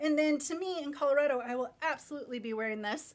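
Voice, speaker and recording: In an American accent, a woman talks fairly quickly in a raised, projected voice, high in pitch, bright and sharp in tone, with lively intonation. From Minnesota. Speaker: fashion brand owner and designer. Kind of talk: live shopping stream. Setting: live video stream. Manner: animated. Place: studio.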